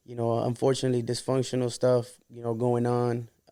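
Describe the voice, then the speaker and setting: With a dark, mellow tone, a man talks at a medium pitch and a fairly quick pace. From Santa Ana, Orange County, California. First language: Spanish. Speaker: rapper. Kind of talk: podcast interview. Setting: studio. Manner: casual, filler-heavy.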